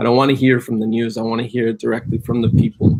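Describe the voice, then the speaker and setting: A man speaks with a Spanish accent at a fairly quick pace. His medium-pitched voice has monotone, flat intonation. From Colombia, Cali. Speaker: cannabis business entrepreneur. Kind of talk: live stream interview.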